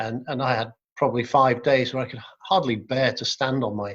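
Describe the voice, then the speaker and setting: A man's medium-pitched voice at a moderate pace, monotone and flat. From Wales. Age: 60s. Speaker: business leader and adventurer. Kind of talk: interview. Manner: hesitant, with frequent word repeats.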